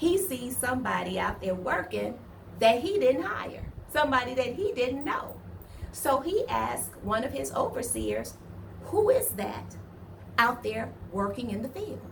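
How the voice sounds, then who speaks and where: Audible room echo surrounds an animated speaker who talks at a fairly slow pace in a Southern US accent. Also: woman. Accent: southern, picked up over time. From US Midwest, East Cleveland, Ohio. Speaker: online Bible storyteller. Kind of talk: casual retelling of a Bible story. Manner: conversational, animated.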